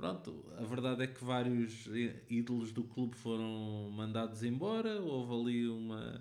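A man speaks with a European Portuguese accent at a fairly slow pace. His intonation is fairly even, and audible room echo surrounds his voice. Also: medium pitch for a man. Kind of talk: casual chat.

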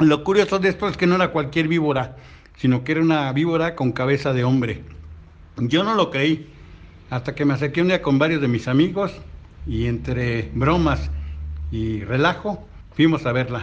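Here a man talks at a moderate pace with a fairly high pitch. His pitch variation is ordinary, and he takes long, frequent pauses. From Mexico City, Tláhuac. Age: 60s. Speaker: grandfather. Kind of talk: storytelling.

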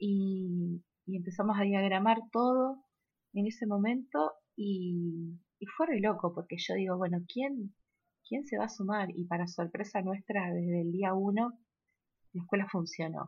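With a Rosario accent, a woman speaks fairly slowly in a somewhat breathy voice of medium pitch and ordinary pitch variation. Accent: Argentine Spanish (Rosario). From Argentina, Rosario. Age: 30s. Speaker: actress and theatre school director. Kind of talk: interview. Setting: remote recording.

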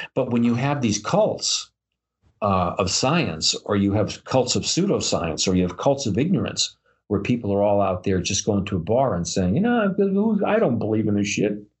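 A man with a fairly low, somewhat breathy voice talks at a moderate pace with lively intonation and very even loudness. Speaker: podcast co-host. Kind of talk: casual chat. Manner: animated.

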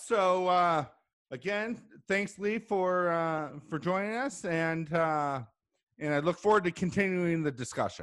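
With an American accent and a high pitch, a man speaks at a fairly slow pace using lively intonation. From Chicago. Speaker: business podcast host. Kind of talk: casual interview. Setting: remote call from home.

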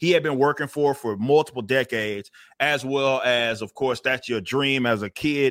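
A man with an American accent speaks at a moderate pace in an ordinary speaking voice, his medium pitch showing ordinary variation, on a very clean recording with a silent background. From Texas. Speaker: comic book creator and vocalist. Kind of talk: casual interview.

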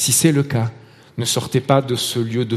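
A man with a Marseille accent, at a fairly slow pace, amid noticeable background noise. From Marseille, southern France. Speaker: lay preacher. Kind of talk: sermon. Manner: hesitant, with repeated words and fillers.

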